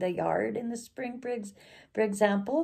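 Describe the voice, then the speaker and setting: A woman is speaking. Her tone sounds dark and mellow. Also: very clean recording, silent background. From northern Alberta, Canada (Cree community). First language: Cree. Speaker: storyteller. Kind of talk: personal reminiscence monologue. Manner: halting, with many fillers.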